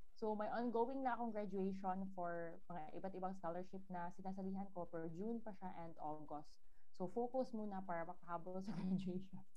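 With audible room echo and noticeable background noise, a woman speaks at a moderate pace and a medium pitch, her intonation fairly even. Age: 30s. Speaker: freelancer and nurse. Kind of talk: interview.

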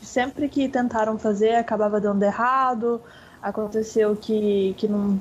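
Fairly slow, monotone speech from a woman with a fairly high pitch and flat intonation. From Mato Grosso, Brazil. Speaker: professional esports player. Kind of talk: casual radio interview.

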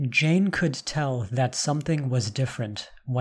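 The clip has an unforced reading voice. Its pitch variation is ordinary.

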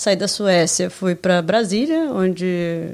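Speaking in a normal speaking voice, a woman has a medium pitch. Her pitch variation is ordinary. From Brazil, Rio de Janeiro state. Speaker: podcast co-host. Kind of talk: casual chat.

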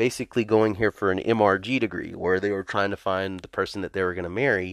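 Against a quiet background, a man with an American accent and an unremarkable speaking voice talks at a fairly quick pace in a fairly low pitch, the sound dry and close with no echo. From US South. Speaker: pastor. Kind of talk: testimony.

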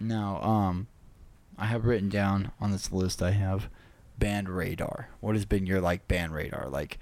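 A man with a normal speaking voice, fairly low in pitch, at a fairly slow pace and with fairly even intonation. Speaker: podcast host. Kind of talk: casual chat.

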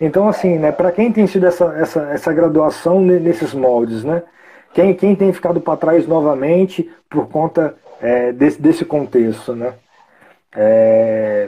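Fairly high-pitched with a dark, mellow tone, a man speaks at a fairly slow pace with lively intonation. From Brazil, Espírito Santo (Vitória area). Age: 20s. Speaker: podcast host, psychology student. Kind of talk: casual interview. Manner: halting, many fillers.

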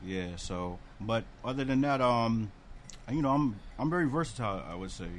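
This is a man with an ordinary speaking voice at medium pitch. He talks at a moderate pace with lively intonation. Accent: American. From Bridgeport, Connecticut. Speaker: rapper and recording engineer. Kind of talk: casual chat.

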